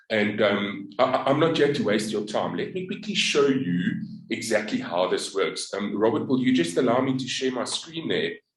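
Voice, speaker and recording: A man's medium-pitched voice at a moderate pace, with very wide pitch swings, hardly any pauses and audible room echo. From South Africa. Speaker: network marketer. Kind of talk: business pitch and story. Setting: group video call.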